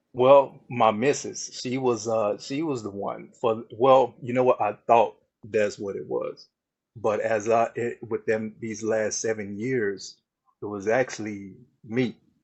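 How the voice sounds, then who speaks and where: The man's pitch sits at a medium level. He speaks at a fairly slow pace with fairly even intonation. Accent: Southern US. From Texas, Dallas. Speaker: mental wellness coach. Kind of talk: casual chat.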